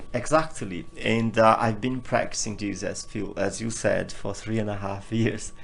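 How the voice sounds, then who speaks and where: With audible room echo, the speaker talks with hardly any pauses and fairly even intonation. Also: man, medium pitch for a man, moderate pace. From northeast Brazil. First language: Portuguese. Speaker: interview guest sharing personal healing journey. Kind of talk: personal testimony in interview.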